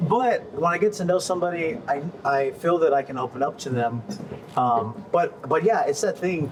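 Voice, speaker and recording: Lively intonation and a fairly high pitch mark this man's voice, which has an American accent. Noticeable background noise is present. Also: moderate pace. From San Antonio, Texas (south side). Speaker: podcast host, agency owner. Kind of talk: casual chat.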